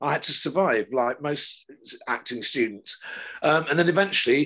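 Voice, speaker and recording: In a British accent, a man with a bright, sharp tone talks at a moderate pace with ordinary pitch variation against a quiet background. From England. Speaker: television director; guest. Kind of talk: casual chat. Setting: video call. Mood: reminiscent, warm. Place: home room. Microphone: video call.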